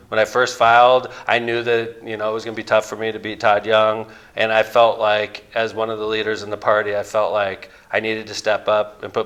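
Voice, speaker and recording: Delivered at a fairly quick pace in a Midwestern American accent, the speech has monotone, flat intonation. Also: man. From northern Indiana, Lake County. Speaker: mayor and Senate candidate. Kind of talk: interview. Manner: loud.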